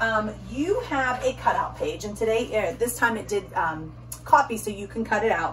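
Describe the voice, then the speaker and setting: There is noticeable background noise in this clip. A woman talks over it at a moderate pace. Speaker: teacher. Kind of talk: tutorial. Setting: recorded video for parents.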